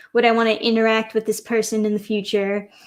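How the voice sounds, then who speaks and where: Fairly high in pitch, a woman with a New York accent speaks at a moderate pace. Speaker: streamer. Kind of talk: casual livestream rant. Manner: animated.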